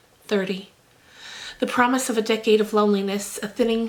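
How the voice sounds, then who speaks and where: Soft-spoken and monotone, a woman talks at a fairly high pitch with flat intonation over noticeable background noise. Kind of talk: audiobook-style reading of a novel. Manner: soft, gentle, soothing.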